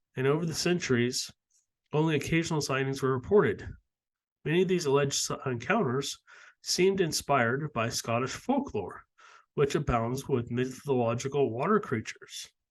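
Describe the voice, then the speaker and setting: Putting on a strained character voice, a man talks at a moderate pace in a fairly high pitch against a quiet background. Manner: strained, hard to talk.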